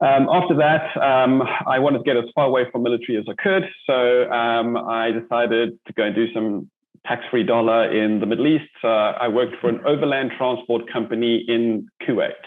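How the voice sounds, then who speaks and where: A man with a South African accent, a medium pitch, ordinary pitch variation, a fairly quick pace and very even loudness. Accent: South African, lasting. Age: 40s. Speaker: army veteran and entrepreneur. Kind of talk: interview. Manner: hesitant, many fillers.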